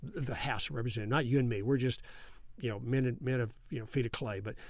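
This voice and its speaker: Speaking with a West Texas accent, a man uses a medium pitch and ordinary pitch variation. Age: 70s. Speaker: congressman. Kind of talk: interview.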